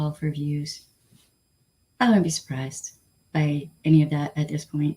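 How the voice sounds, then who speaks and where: A woman's somewhat breathy voice with a dark, mellow tone, in a Southern Californian accent at a fairly slow pace. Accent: Valley Girl. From Flint, Michigan. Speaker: livestream host. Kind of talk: casual chat.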